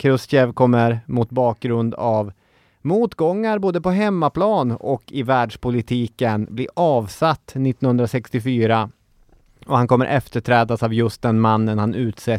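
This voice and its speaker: On a very clean recording with a silent background and a dry, close sound with no echo, a man speaks very slowly at a medium pitch with ordinary pitch variation. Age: 30s. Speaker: history podcast host. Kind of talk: scripted narration.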